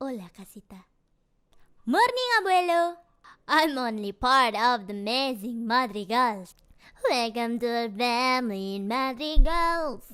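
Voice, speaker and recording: This is a put-on character voice that sounds female. It is pitched high for a woman. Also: moderate pace. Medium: voice reel.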